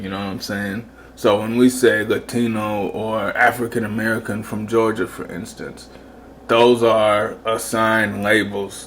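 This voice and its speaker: Over noticeable background noise, a man with a Southern accent speaks at a fairly slow pace in a fairly low, monotone, flat voice. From US South. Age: 30s. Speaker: video commentator. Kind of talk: casual monologue commentary. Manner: rambling, casual.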